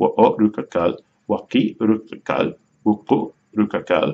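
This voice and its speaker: A man with an American accent talks at a fairly slow pace. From United States. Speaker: language learner teaching a Mayan language. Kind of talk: tutorial. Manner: halting, self-correcting.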